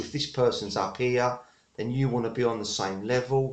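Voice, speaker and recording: Speaking at a moderate speed, this man has an English accent. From England. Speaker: network marketer. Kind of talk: tutorial. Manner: halting, many fillers.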